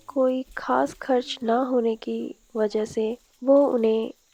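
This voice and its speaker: A woman speaks in a fairly high pitch with a dark, mellow tone, recorded dry and close with no echo. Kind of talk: documentary voice-over narration.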